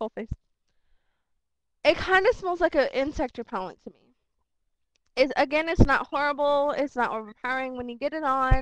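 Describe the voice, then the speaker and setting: A high-pitched woman speaks with ordinary pitch variation and big swings in loudness. Long, frequent pauses break up her speech. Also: dry, close sound with no echo. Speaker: beauty vlogger. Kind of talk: product review. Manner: fast; casual, filler-heavy. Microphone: laptop mic, hard to hear.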